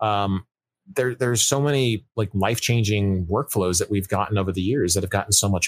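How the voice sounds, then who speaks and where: A man's ordinary speaking voice, fairly low in pitch, with ordinary pitch variation and a fairly quick pace, in a very clean, dry, close recording with a silent background and no echo. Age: 30s. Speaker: 3D game artist. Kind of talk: casual interview.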